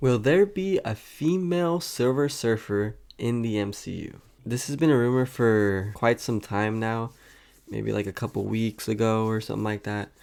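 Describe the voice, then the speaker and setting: Here a man speaks in a plain, everyday voice at a medium pitch and moderate pace. His intonation is lively, and the recording is very clean with a silent background. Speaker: YouTube commentator on superhero movie rumors. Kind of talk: casual talk to camera.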